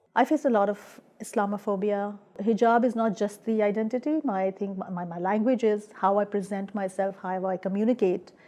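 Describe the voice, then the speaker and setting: A woman's dark, mellow tone at a fairly quick pace, with fairly even intonation. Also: medium pitch for a woman. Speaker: immigrant woman artist participant. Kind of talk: personal testimony interview.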